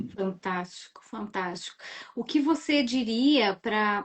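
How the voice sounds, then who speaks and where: Pitch moves up and down in an ordinary fashion. There is a somewhat breathy quality to the voice. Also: woman. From southern Brazil, Rio Grande do Sul. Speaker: live-stream host. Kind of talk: live-stream interview.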